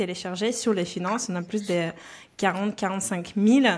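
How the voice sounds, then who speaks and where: A woman with a slight Belarusian accent speaks at a medium pitch. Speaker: personal finance coach. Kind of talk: podcast interview. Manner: frequent hesitations (euh).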